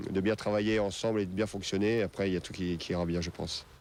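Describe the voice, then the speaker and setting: The man's intonation is fairly even. His voice is very deep and low. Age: 40s. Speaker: football youth academy director. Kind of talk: interview. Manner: hesitant, many fillers.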